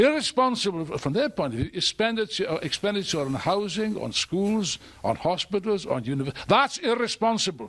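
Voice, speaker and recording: A man with a high pitch talks at a fairly quick pace with very wide pitch swings and hardly any pauses. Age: 70s. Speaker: political activist. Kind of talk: speech at a public event. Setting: stage with audience. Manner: animated.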